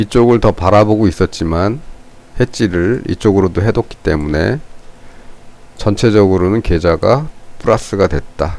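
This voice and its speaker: A man with a fairly low pitch, ordinary pitch variation, very even loudness and long, frequent pauses, over noticeable background noise. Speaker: stock market commentator. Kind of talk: unscripted market analysis commentary. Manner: slow; halting, unscripted.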